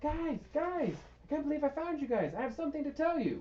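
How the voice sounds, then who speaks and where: A put-on character voice pitched high moves at a fairly quick pace. Clear background noise can be heard. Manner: excited, earnest.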